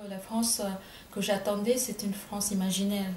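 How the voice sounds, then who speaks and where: Over noticeable background noise, a woman with a Bengali accent speaks in a monotone, flat intonation. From India, Bengal. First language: Bengali (speaking French). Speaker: writer. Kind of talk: interview. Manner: halting, many hesitations.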